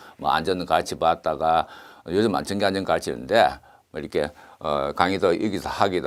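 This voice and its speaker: A man talks at a fairly quick pace with a very deep, low pitch. The background is quiet. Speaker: engineering exam lecturer. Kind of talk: lecture. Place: studio. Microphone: lapel.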